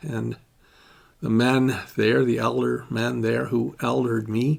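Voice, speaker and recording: Everything is delivered very slowly. The background is silent and the recording very clean. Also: man. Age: 70s. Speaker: award honoree, men's group facilitator. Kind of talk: recorded acceptance speech. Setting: pre-recorded video played at gala.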